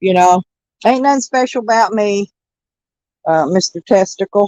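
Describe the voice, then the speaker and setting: Recorded dry and close with no echo, a woman talks at a medium pitch with ordinary pitch variation in a plain, everyday voice. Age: 60s. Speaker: livestreamer. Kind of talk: casual chat.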